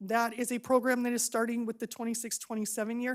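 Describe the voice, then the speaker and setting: In a very clean recording with a silent background, a woman with an American accent speaks at a fairly high pitch. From Arizona, Buckeye area. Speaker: special education school staff member. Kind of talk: public presentation at board meeting. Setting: public board meeting. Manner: fast; enthusiastic.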